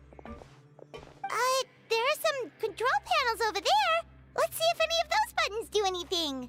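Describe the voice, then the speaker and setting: Over faint music in the background, a put-on character voice, squeaky and extremely high in pitch, goes along at a moderate pace. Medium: video game. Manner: outspoken.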